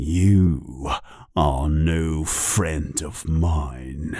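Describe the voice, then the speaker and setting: In a put-on character voice, a man speaks with a very deep, low pitch. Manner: growling, hostile.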